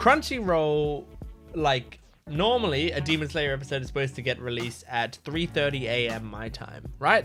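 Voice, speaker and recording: A man talks at a moderate pace, and music plays in the background. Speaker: anime reactor. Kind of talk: casual talk to camera.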